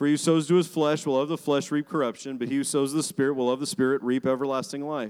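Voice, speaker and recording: A normal speaking voice from a man with an American accent, fairly high pitch and ordinary pitch variation, in a very clean recording with a silent background. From Arizona. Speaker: pastor. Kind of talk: sermon. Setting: church.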